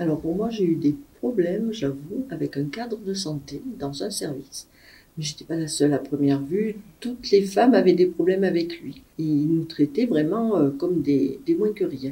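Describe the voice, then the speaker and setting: Her voice is fairly low, somewhat breathy and dark, mellow in tone, with lively intonation from this woman. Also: moderate pace. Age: 60s. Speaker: retired nurse. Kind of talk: interview testimony.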